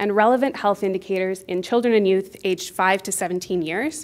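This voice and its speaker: A woman talks at a fairly quick pace in a normal speaking voice. Her pitch is medium, with ordinary variation. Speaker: health researcher. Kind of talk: conference presentation. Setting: stage with audience. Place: hall.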